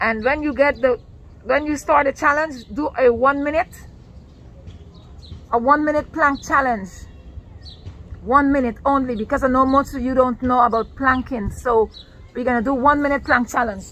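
Her sound dry with no echo, a woman speaks at a high pitch with fairly even intonation and long, frequent pauses. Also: moderate pace. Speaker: fitness vlogger. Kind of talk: casual vlog chat. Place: garden. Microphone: phone near.

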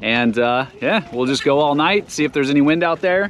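This man keeps a moderate pace. His intonation sounds lively. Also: fairly high pitch for a man, fairly bright tone.

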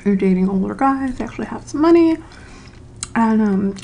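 A soft-spoken woman whispers at a moderate pace. Light background noise can be heard. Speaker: ASMR creator. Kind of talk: casual talk to camera. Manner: soft-spoken, whispered.

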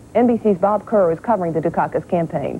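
At a fast pace, a woman speaks with lively intonation and a fairly low pitch.

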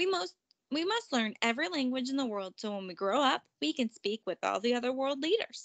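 With lively intonation and a high pitch, a woman performs a put-on character voice in a dry, close sound with no echo. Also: fairly quick pace, fairly bright tone.

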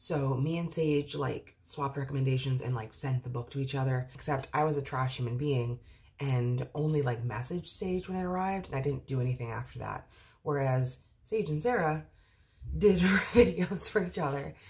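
A woman speaks at a moderate pace in a very deep, low voice that is somewhat breathy, with ordinary pitch variation. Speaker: book vlogger. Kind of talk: casual vlog chat. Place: home room. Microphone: phone near.

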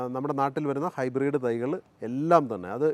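A man talks in an ordinary speaking voice, fairly high in pitch, with ordinary pitch variation. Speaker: farming video host. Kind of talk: presenting a farm tour. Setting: outdoors.

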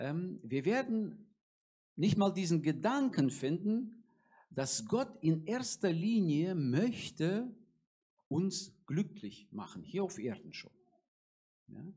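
Speaking at a very slow pace with long, frequent pauses, the voice has a dark, mellow tone and big swings in loudness against a quiet background. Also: man. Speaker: preacher. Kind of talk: sermon. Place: church. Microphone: handheld.

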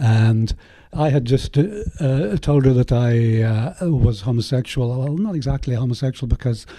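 A man talks at a medium pitch and a fairly slow pace. His tone is dark and mellow, and somewhat breathy. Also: ordinary pitch variation. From Northern Ireland, West Belfast. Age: 60s. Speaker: artist. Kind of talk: interview. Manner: halting.

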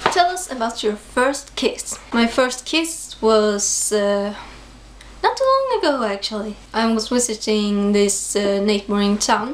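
The woman speaks at a fairly slow pace. Light background noise can be heard. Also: ordinary pitch variation. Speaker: vlogger. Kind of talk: casual vlog chat. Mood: shy, giggly. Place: home room. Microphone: phone near.

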